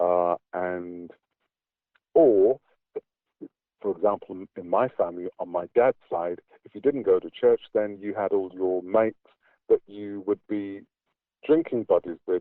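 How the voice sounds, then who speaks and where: With a British accent, a man speaks at a fairly slow pace in a fairly low pitch, with ordinary pitch variation, big swings in loudness, and long, frequent pauses. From England. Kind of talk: interview answer. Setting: online call.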